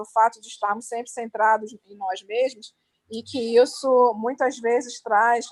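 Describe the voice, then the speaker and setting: A woman in a Brazilian accent talks at a fairly high pitch with fairly even intonation. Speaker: event moderator. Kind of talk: interview.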